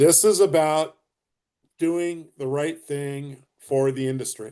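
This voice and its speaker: Very slowly, a man speaks with a fairly high pitch and a dark, mellow tone. His pitch varies in an ordinary way. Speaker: real estate coach. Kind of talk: group coaching session. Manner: passionate, can sound angry.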